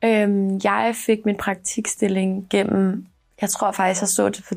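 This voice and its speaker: A woman talks at a medium pitch and a fairly slow pace. The recording is very clean with a silent background. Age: 20s. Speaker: university student intern. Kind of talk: interview testimony. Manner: hesitant, many fillers.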